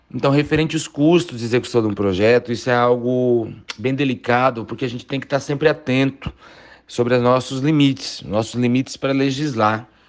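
In an ordinary speaking voice, a man talks at a fairly quick pace with medium pitch and fairly even intonation over a quiet background. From Brazil, Várzea Grande, Mato Grosso. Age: 30s. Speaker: city councillor. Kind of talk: interview.

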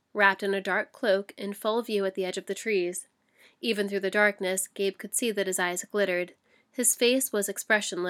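Reading aloud in a natural voice, with fairly even intonation and a quiet background

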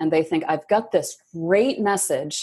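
Her American accent comes through at a moderate pace, with lively intonation. The woman has an unremarkable speaking voice of medium pitch. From Michigan. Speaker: book editor. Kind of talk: interview.

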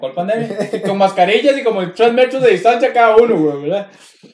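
Speaking at a fairly quick pace, a man with a high pitch talks in a Costa Rican accent. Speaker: podcast host. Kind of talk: casual chat.

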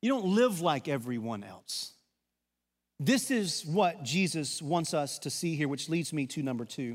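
A fairly slow, fairly high-pitched male voice in a Southern US accent, with very wide pitch swings. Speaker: pastor. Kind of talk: sermon. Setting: church.

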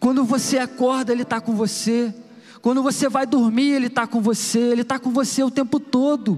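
A man's extremely high-pitched, monotone, flat voice over noticeable background noise. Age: 30s. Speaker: preacher. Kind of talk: sermon. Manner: informal, conversational.

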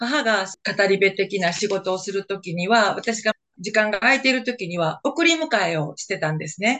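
Here is a woman with a normal speaking voice and a medium pitch. Her intonation is lively, and her pace is moderate. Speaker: retiree and oral history successor. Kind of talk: interview. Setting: video call.

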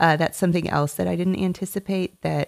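A woman at a fairly quick pace with ordinary pitch variation, on a very clean recording with a silent background and a dry, close sound with no echo. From Tennessee. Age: 40s. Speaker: marketing agency owner. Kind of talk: interview.

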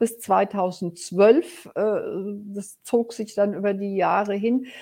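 Very slow and fairly even in intonation, a woman speaks at a fairly high pitch. Her tone is dark and mellow. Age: 60s. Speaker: business coach. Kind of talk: personal storytelling. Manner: hesitant fillers.

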